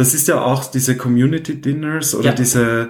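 An unremarkable speaking voice at a moderate pace. Its pitch varies in an ordinary way. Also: man. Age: 20s. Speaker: podcast host. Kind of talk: interview.

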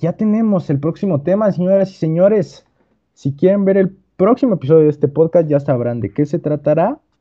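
With lively intonation and a fairly quick pace, a man speaks in a high pitch. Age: young. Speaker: podcast co-host. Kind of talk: casual chat.

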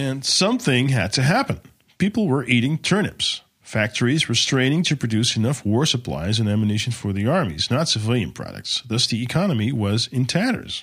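A man with an ordinary speaking voice talks at a fairly quick pace, medium in pitch with lively intonation. His loudness stays very even on a very clean recording with a silent background. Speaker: podcast host narrating history. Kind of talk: history documentary narration, scripted and informative. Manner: measured, steady, formal storytelling pace.

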